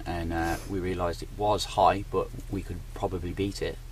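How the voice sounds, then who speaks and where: Through noticeable background noise, a man speaks with a very deep, low pitch and fairly even intonation. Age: 20s. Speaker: record-breaking traveller. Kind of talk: interview.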